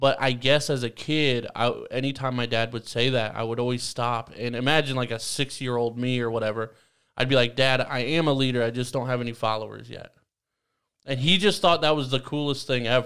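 On a very clean recording with a silent background, a man with a plain, everyday voice speaks at a medium pitch and a fairly quick pace with fairly even intonation. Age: 20s. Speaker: podcast host. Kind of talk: casual chat.

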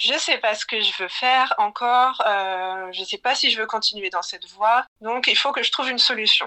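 This woman has a fairly high, bright and sharp voice, speaking at a moderate pace with ordinary pitch variation. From Brittany, France. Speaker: illustrator. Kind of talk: casual interview.

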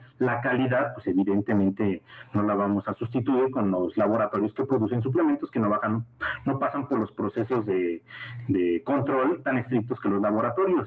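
Amid noticeable background noise, a man talks at a medium pitch. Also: ordinary pitch variation, moderate pace, very even loudness. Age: 30s. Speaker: sports medicine doctor. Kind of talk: lecture. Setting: video call. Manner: halting.

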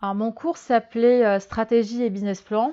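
This woman's voice has a dark, mellow tone. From Algeria, Germany and Madagascar. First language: Malagasy (speaking French). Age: 30s. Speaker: fashion strategy consultant. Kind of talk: interview. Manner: hesitant, many fillers.

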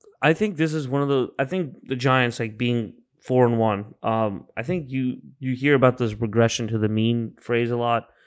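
A man with a normal speaking voice, ordinary pitch variation and a moderate pace against a quiet background. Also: medium pitch for a man. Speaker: podcast co-host, sports bettor. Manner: laid-back, teasing, chiming in with laughs.

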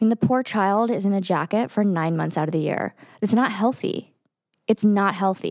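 Dry and close with no echo, an ordinary speaking voice with an American accent moves at a moderate pace with ordinary pitch variation. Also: woman. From Texas. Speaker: podcast co-host. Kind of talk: casual chat. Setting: studio.

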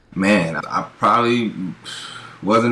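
With a bright, sharp tone and fairly even intonation, a man speaks in an American accent amid audible room echo. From US West Coast, Pasadena, California. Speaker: former pro football player turned financial advisor. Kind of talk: interview.

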